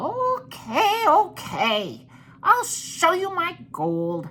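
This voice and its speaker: This is a put-on character voice at an extremely high pitch. The pace is very slow. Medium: read story. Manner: cheeky, squirming, indignant.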